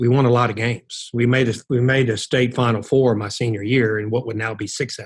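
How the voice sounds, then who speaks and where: Barely pausing at all, a man speaks at a fairly quick pace in a somewhat breathy, monotone, flat voice at a medium pitch. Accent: American. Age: 60s. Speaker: college basketball coach. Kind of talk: interview.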